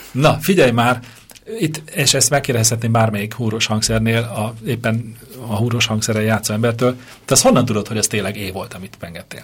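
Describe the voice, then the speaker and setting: This man talks at a fairly quick pace and medium pitch, with ordinary pitch variation. Background noise is noticeable. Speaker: radio host. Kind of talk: casual chat. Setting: radio studio. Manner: loud. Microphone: echo at first, mic not plugged in properly.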